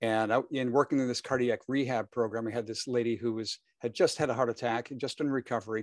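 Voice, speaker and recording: A man talks at a very fast pace with hardly any pauses, his pitch medium. The sound is dry and close, with no echo. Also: fairly even intonation. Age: 60s. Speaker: fitness business educator. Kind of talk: interview. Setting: video call. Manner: halting.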